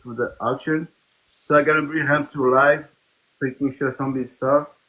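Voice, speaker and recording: A man is speaking. He has a slight Portuguese accent. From Portugal. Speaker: live stream host. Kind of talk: casual chat.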